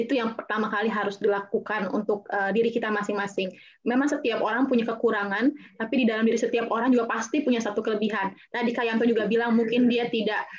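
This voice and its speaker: Fairly high in pitch, a woman's voice moves at a very fast pace with fairly even intonation. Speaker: actress and beauty pageant winner. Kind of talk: talk show panel. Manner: hesitant with fillers.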